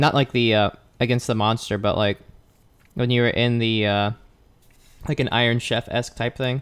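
Here a man talks at a moderate pace and medium pitch, with fairly even intonation and very even loudness. He leaves long, frequent pauses. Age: 20s. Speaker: podcast co-host, healthcare worker.

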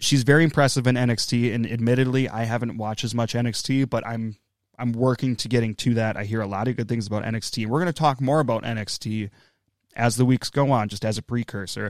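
This man has an ordinary speaking voice, medium in pitch, with fairly even intonation. He talks at a fairly quick pace in a very clean recording with a silent background. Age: 30s. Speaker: wrestling podcast co-host. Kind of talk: casual chat.

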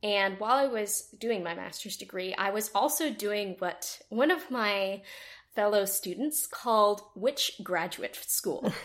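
A woman with a normal speaking voice, fairly slow in pace, with ordinary pitch variation. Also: medium pitch for a woman. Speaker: audio drama creator and actor. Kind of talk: casual interview chat.

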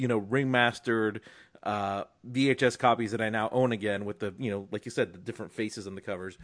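A man with a plain, everyday voice speaks at a medium pitch with fairly even intonation over a quiet background. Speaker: film podcast host. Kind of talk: casual chat.

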